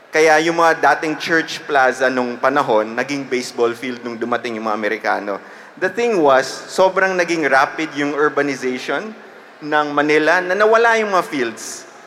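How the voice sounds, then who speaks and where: A man's lively intonation amid noticeable background noise. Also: fairly high pitch for a man, moderate pace. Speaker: podcast host and publishing veteran. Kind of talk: live panel storytelling. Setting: stage with audience.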